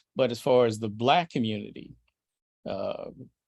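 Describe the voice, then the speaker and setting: With an American accent and a plain, everyday voice, a man speaks at a fairly quick pace with fairly even intonation. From Brooklyn, Illinois, across the river from St Louis. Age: 60s. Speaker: jazz trumpet player. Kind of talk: podcast interview.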